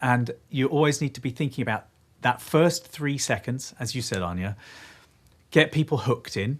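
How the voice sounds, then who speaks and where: A man with an English accent and a medium-pitched, somewhat breathy voice speaks with ordinary pitch variation on a very clean recording with a silent background. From England. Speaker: video producer and content creator. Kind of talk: live stream panel discussion. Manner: fast.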